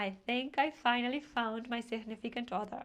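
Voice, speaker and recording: This woman has a high-pitched voice with ordinary pitch variation and speaks with a Spanish accent. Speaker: language teacher. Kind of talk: tutorial.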